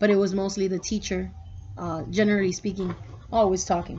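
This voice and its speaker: A woman speaks in a Spanish accent. Her intonation is monotone and flat. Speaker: student. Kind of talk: recorded class reflection. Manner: casual, with fillers.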